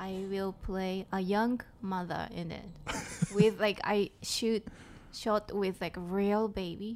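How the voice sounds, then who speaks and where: A woman with a Japanese accent, flat monotone intonation, and a very slow pace. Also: medium pitch for a woman. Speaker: comedian. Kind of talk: casual chat.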